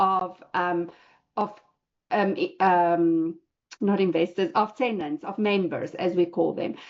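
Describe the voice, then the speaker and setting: A woman speaks with a South African accent. Her pace is fairly slow. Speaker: real estate investor. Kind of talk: personal story talk in online class. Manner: hesitant, many fillers.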